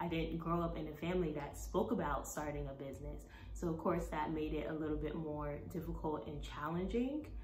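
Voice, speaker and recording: A woman talks at a fairly quick pace with an American accent. Noticeable background noise runs behind her. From Brooklyn, New York. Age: 20s. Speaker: plant-based nutritionist and Zumba instructor. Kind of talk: casual talk to camera.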